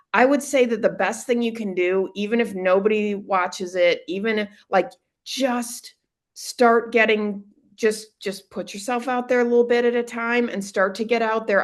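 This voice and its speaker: Against a quiet background, a woman with an ordinary speaking voice talks at a fairly high pitch and moderate pace, her intonation fairly even. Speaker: business owner and direct mail consultant. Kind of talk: casual interview.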